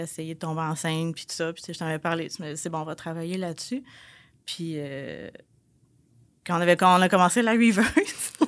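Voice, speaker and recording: In a Quebec accent, the speaker keeps a moderate pace and fairly even intonation on a very clean recording with a silent background. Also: woman. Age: 30s. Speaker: pharmacy technical assistant and bodybuilding competitor. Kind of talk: testimony.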